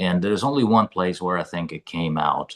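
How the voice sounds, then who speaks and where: Against a quiet background, a man with a very deep, low pitch speaks at a moderate pace with lively intonation. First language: not English. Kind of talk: book club discussion. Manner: halting.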